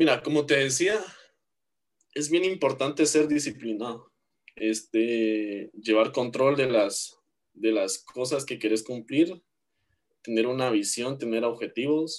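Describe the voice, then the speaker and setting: With a Guatemalan accent, a man talks at a very slow pace, leaving long, frequent pauses. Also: medium pitch for a man, ordinary pitch variation. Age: 20s. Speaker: university student and church worship drummer. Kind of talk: interview.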